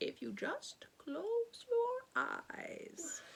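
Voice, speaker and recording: This is a put-on character voice that sounds female. Its pitch is extremely high. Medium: read story. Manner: gentle, assured.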